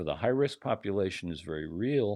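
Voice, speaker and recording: A man talks at a moderate pace, with the background quiet. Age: 70s. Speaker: retired pediatric cardiologist, guest commentator. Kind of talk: interview discussion.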